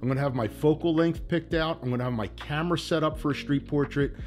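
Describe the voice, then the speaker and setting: Over faint music in the background, the speech runs at a very fast pace with ordinary pitch variation. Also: man. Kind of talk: tutorial. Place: home room.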